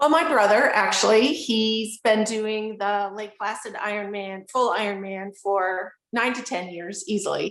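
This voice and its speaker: Speaking in an unremarkable speaking voice with an American accent, a woman talks at a fairly slow pace with hardly any pauses, her fairly high pitch showing ordinary pitch variation while her loudness swings widely. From upstate New York. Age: 60s. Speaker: adaptive athlete. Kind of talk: interview. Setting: video call.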